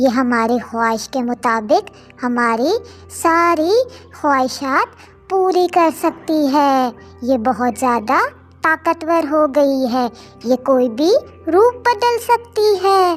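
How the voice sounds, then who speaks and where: A cartoonish character voice that sounds female comes through at a high pitch and a fairly slow pace. Faint music plays in the background. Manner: flattering.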